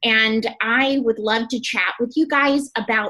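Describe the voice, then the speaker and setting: This woman's tone is bright and sharp. She speaks in a fairly high pitch with ordinary pitch variation. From US South, Gulf Coast of Alabama. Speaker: beauty products trainer. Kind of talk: training presentation. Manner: animated.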